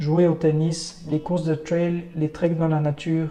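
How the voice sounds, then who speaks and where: A man talks at a fairly slow pace in a fairly high, flat monotone. Noticeable background noise runs underneath. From French-speaking Switzerland. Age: 40s. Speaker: conservationist and election candidate. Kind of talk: scripted self-presentation. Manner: formal.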